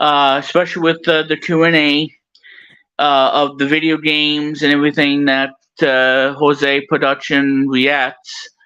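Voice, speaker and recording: Delivered at a fairly slow pace, the speech keeps very even loudness and monotone, flat intonation. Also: man, fairly high pitch for a man. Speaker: podcast host. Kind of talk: casual chat. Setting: live stream with chat. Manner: halting.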